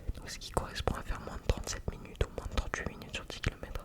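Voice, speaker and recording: A whispering voice with a calm tone comes through over noticeable background noise. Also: man. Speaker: amateur runner. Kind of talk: ASMR personal talk. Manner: calm, relaxing; whispered.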